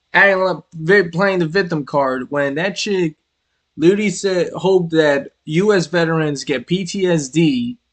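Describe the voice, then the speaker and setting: A high-pitched man in a New York accent at a fairly slow pace. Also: ordinary pitch variation. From New York City. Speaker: streamer. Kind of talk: casual live-stream commentary. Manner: animated.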